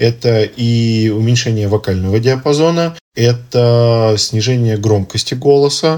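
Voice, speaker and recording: With ordinary pitch variation, a man speaks in a plain, everyday voice. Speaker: ENT doctor. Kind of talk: expert interview.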